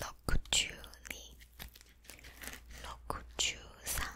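A fairly slow whisper. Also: woman. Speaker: ASMR creator. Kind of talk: ASMR counting to sleep. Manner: soft, whispered. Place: home room. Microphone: studio mic.

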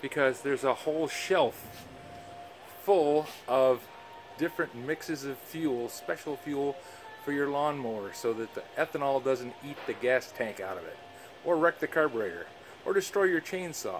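Over music in the background, a man talks at a moderate pace with a fairly high pitch and lively intonation. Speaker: woodworker. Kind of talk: casual talk to camera. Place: shop. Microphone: phone near.

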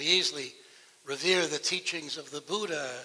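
A man speaks in a raised, projected voice with a bright, sharp tone and lively intonation. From United States (Massachusetts). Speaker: Unitarian Universalist minister. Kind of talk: sermon delivered to a congregation. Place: church. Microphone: headset.

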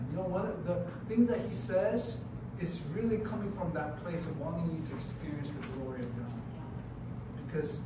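Loud background noise mixes with audible room echo. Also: man. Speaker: youth retreat pastor. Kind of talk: sermon. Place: hall. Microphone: camera far.

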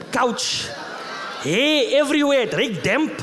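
Here a man talks with a South African accent at a fairly slow pace. Light background noise can be heard. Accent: South African English, Afrikaans-inflected. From South Africa, Eastern Cape. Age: 30s. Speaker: comedian. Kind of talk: stand-up. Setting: stage with audience. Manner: animated. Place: stage. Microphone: handheld.

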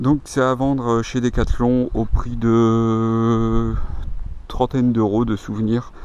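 Under light background noise, a man speaks at a medium pitch and a very slow pace, with monotone, flat intonation and a dry sound with no echo. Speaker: YouTuber, camper van owner. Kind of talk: tutorial. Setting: outdoors. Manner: halting. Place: open country. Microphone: phone near.

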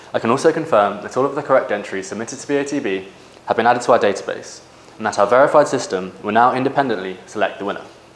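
A man talks very fast, his loudness swinging widely. His pitch varies in an ordinary way, and room echo is audible. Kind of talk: formal announcement. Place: office. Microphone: camera far.

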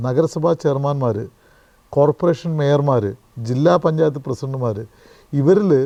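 A man's dark, mellow voice, fairly high in pitch, with ordinary pitch variation. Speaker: politician and journalist. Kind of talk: interview conversation.

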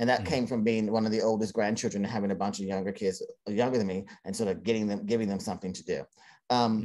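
With an American accent, a man speaks very fast in a dark, mellow tone at a fairly low pitch. His intonation stays fairly even, and the background is quiet. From Cincinnati, Ohio; Ohio. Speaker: theater director and playwright; interview guest. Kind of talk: interview. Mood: reflective storytelling. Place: home room. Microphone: video call.

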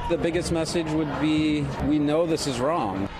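A fairly high-pitched man speaks at a moderate pace. There is noticeable background noise. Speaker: news correspondent. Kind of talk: news reading, polished broadcast report voiceover. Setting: recorded TV news package. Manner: formal, measured, steady delivery.

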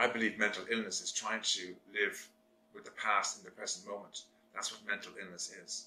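Delivery is monotone and flat at a moderate pace. Audible room echo surrounds the voice. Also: man, fairly low pitch for a man. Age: 60s. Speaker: therapist and video blogger. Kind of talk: monologue to camera. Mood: earnest, serious, reflective. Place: home room.

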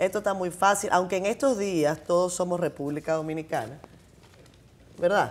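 A woman speaks at a moderate pace with a fairly low pitch. Her pitch varies normally, and she leaves long, frequent pauses. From Dominican Republic. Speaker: TV host. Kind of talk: interview. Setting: studio. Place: studio. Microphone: lapel.

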